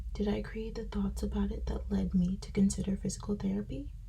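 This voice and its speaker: Whispering at a moderate pace. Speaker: ASMR creator. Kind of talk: sleep reading of nonfiction. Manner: whispered.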